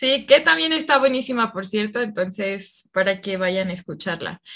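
Bright and sharp in tone, a woman talks with lively intonation. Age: 20s. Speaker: travel advisor, podcast co-host. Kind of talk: casual chat.

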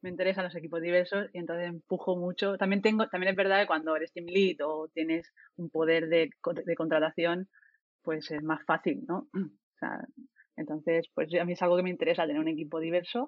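A woman with an unremarkable speaking voice, fairly low pitch, ordinary pitch variation and a fairly quick pace. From Spain, Murcia. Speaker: software developer and team lead. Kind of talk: casual panel discussion.

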